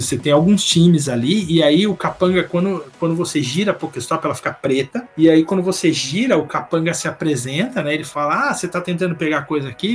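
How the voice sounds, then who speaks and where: Music plays in the background as a man with a high pitch speaks at a fairly quick pace. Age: 40s. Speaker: Pokémon player. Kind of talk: casual chat. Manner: animated.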